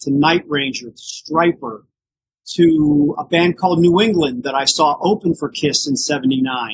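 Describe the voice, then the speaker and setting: Speaking in a normal speaking voice, a man talks at a fairly slow pace and a fairly high pitch, with ordinary pitch variation. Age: 60s. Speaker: tribute band frontman. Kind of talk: podcast interview.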